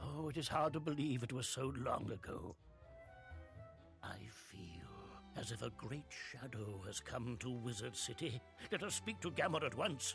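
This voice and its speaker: A man speaks in a put-on character voice at medium pitch and a moderate pace, with long, frequent pauses and clear music playing behind him. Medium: video game. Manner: measured, grandfatherly.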